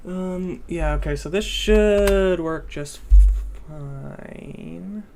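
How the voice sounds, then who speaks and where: Someone speaks at a very slow pace with music in the background. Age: young. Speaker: programming streamer. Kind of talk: live coding stream. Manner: halting.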